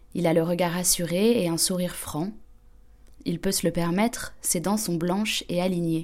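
In an unremarkable speaking voice, a woman talks with fairly low pitch and fairly even intonation. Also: fairly slow pace. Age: young. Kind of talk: scripted narration.

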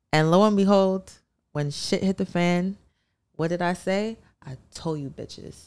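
A woman with a New York accent speaks at a fairly low pitch, taking long, frequent pauses. Her loudness swings in a big way. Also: moderate pace. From Brooklyn, New York (Canarsie). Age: young. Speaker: musician. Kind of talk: casual chat.

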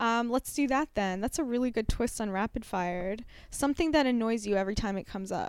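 On a very clean recording with a silent background, a woman talks very fast at a fairly high pitch with lively intonation. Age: 40s. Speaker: comedian and podcast co-host. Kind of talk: casual chat.

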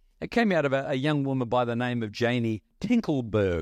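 The recording is very clean, with a silent background. A man uses an ordinary speaking voice at a medium pitch with lively intonation. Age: 60s. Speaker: visiting pastor. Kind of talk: sermon. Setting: church.

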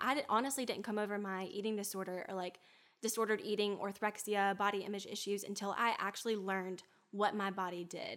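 This woman has a medium pitch and fairly even intonation. She talks at a moderate pace. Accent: Southern US. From US South, Alabama. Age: 20s. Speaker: health and wellness guest. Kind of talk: casual chat. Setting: in-person studio.

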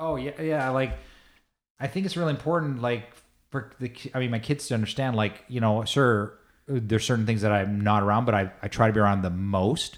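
In a very clean recording with a silent background, a man with a Canadian accent speaks at a fairly quick pace. He has a plain, everyday voice, medium in pitch, with ordinary pitch variation. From Canada, raised from childhood after Iran and US. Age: 40s. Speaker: investment banker. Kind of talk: interview. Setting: home office.

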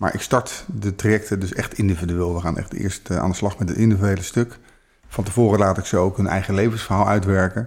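A plain, everyday voice from a man, fairly low and fairly quick, with fairly even intonation on a very clean recording against a silent background. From Netherlands, The Hague. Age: 50s. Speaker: relationship coach. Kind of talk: casual chat. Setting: in person, The Hague area.

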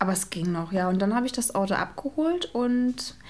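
A woman speaks in a plain, everyday voice at a medium pitch and a moderate pace, with ordinary pitch variation. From Brandenburg, Cottbus. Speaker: photographer and mother. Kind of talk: casual chat.

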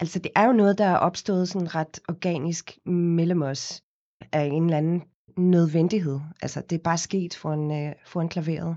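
A woman with an unremarkable speaking voice talks at a fairly slow pace, fairly low in pitch, with fairly even intonation. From South Africa, Cape Town. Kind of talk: interview. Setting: studio.

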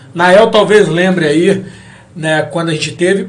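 A man with a high pitch talks at a moderate pace. Audible room echo and noticeable background noise surround him. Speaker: podcast host. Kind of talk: casual chat. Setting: studio.

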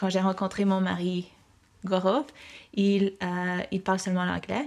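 Moderate pace and fairly even intonation from a woman at medium pitch. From Mexico (Mexico City). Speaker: interviewee, family member. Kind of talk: interview.

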